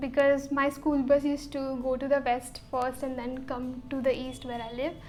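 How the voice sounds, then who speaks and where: With an Indian accent, a woman with a high pitch speaks at a moderate pace over noticeable background noise. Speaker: YouTuber. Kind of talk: casual chat.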